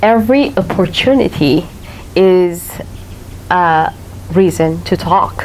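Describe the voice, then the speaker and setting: With a slight non-native accent, a woman speaks very slowly at a fairly low pitch, taking long, frequent pauses over noticeable background noise. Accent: slight foreign. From Eritrea. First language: not English (third language). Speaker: author. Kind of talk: author talk Q&A. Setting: library patio with audience. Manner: hesitant, many fillers.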